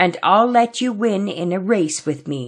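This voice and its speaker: A woman's growling, put-on character voice at a medium pitch and moderate pace. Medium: read story. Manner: polite.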